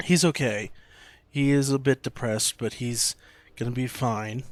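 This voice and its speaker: A man is speaking. His voice is soft-spoken. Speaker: video game streamer. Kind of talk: gameplay stream commentary. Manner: quiet, soft-spoken.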